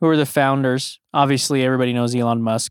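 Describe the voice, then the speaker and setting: A normal speaking voice with fairly even intonation comes through in a very clean, dry, close recording with no echo and a silent background. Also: man. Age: 30s. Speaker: podcast host. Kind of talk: solo monologue. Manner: casual, filler-heavy.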